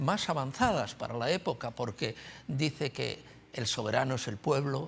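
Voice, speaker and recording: With lively intonation and a somewhat breathy quality, a man at medium pitch talks at a moderate pace. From Spain. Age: 80s+. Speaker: writer and journalist. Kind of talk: TV talk show interview. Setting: TV studio with audience. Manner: halting, many fillers.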